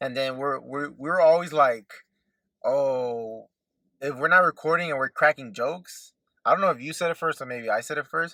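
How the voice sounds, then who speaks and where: A man's fairly high voice with a Southern California accent, bright and sharp in tone, at a moderate pace with ordinary pitch variation, dry and close with no echo on a very clean recording with a silent background. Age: 20s. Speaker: podcast co-host. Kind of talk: casual chat. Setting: in a car.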